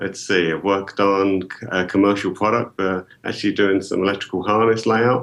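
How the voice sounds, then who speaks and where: With a slight British accent, a man speaks at a fairly low pitch and a fairly quick pace in a monotone, flat intonation. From UK. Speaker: engineering software marketing executive. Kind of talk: podcast interview.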